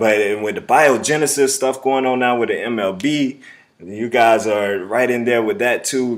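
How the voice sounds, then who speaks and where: Here a man speaks at medium pitch with ordinary pitch variation. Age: 30s. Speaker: sports video producer. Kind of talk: video job application pitch. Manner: hesitant, many fillers.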